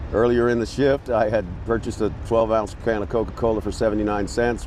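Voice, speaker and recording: A man's fairly low voice at a very fast pace, over noticeable background noise. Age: 60s. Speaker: homeless man. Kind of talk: street interview.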